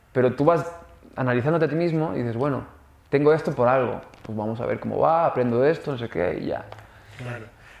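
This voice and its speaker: Over noticeable background noise, a man with a medium pitch talks at a very fast pace with ordinary pitch variation and long, frequent pauses. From raised abroad, Canada and the Netherlands. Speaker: actor. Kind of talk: casual chat.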